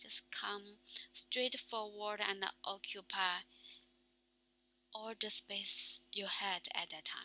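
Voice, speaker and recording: A woman's bright, sharp, monotone, flat voice in a Chinese accent, at a very slow pace. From China. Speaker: vlogger practicing English. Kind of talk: casual monologue. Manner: halting, many fillers.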